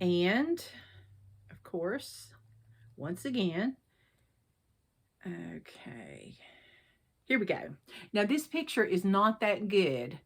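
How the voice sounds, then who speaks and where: On a very clean recording with a silent background, a woman of medium pitch speaks very slowly with vocal fry. Her pitch swings very widely. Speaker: cross-stitch vlogger. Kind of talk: casual vlog talk. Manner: chatty, informal.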